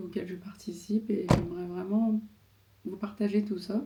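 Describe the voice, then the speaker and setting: A woman's medium-pitched, monotone voice with flat intonation over noticeable background noise. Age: 30s. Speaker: vlogger and seamstress. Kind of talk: casual vlog. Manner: halting, many fillers.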